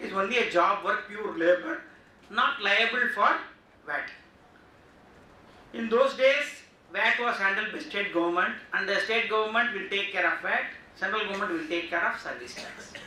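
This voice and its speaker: A man speaks in a raised, projected voice at a high pitch, with ordinary pitch variation, a moderate pace, and long, frequent pauses. Noticeable background noise and audible room echo surround him. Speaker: GST workshop speaker. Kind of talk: lecture. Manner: loud.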